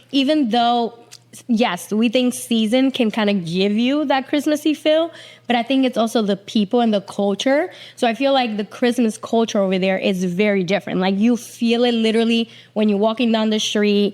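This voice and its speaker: A Puerto Rican accent at a moderate pace, with very even loudness and ordinary pitch variation. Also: woman, fairly high pitch for a woman. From Puerto Rico, south (Jauco, Lajas). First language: Spanish. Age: 40s. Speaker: TV executive producer. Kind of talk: casual podcast interview.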